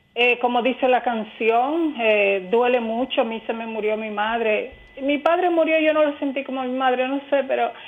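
The woman's voice sits high, its pitch moving in a normal way. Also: moderate pace. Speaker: radio caller. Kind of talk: phone-in comment. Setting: phone call.

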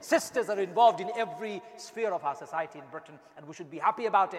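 A man talks at a fairly quick pace with high pitch and lively intonation. Noticeable background noise sits behind him. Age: 40s. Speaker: imam. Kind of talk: sermon. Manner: animated.

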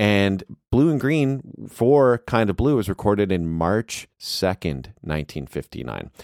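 A man at a very slow pace, fairly low in pitch with very wide pitch swings, in a dry, close sound with no echo. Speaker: podcast host. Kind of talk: casual podcast conversation. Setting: video call. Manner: friendly, upbeat.

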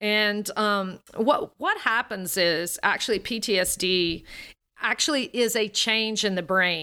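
A woman's bright, sharp voice at a very slow pace with ordinary pitch variation, on a very clean recording with a silent background. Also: medium pitch for a woman. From US South, Alabama. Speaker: voice coach and singer. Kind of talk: interview conversation. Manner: draws out words.

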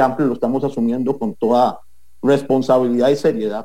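A man's dark, mellow tone at a fairly high pitch and a moderate pace. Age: 30s. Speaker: political candidate. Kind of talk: interview.

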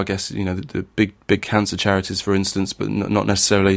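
A man with a fairly low pitch and a slight northern English accent. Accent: northern English, mild. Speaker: podcast host. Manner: hesitant, many fillers and restarts.

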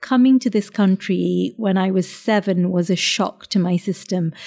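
A woman speaks at a medium pitch with a dark, mellow, somewhat breathy tone. The recording is very clean and dry, close with no echo and a silent background. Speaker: chef and restaurant owner. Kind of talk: casual interview chat. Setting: restaurant.

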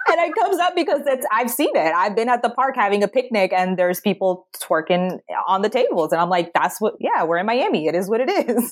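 Speaking at a fairly quick pace with hardly any pauses, a woman keeps her loudness very even while her fairly high pitch swings very widely. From US Mid-Atlantic, Maryland. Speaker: career coach. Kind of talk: podcast interview.

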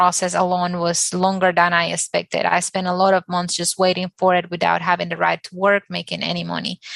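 A woman's bright, sharp tone comes with monotone, flat intonation. The sound is dry and close, with no echo, over a quiet background. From Dominican Republic. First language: Spanish. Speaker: architect. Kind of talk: panel discussion.

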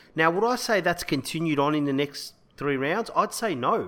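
A man speaks with a bright, sharp tone and a fairly high pitch. His intonation is lively, his pace moderate, and the recording very clean with a silent background. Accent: Australian. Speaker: rugby league podcast co-host. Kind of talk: casual sports chat. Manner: laughs often.

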